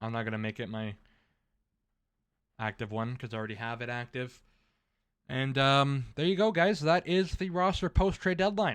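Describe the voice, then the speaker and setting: Against a quiet background, a man of medium pitch speaks at a moderate pace with very wide pitch swings and long, frequent pauses. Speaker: gaming YouTuber. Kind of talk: gameplay commentary. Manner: steady flow, re-recorded for clear enunciation.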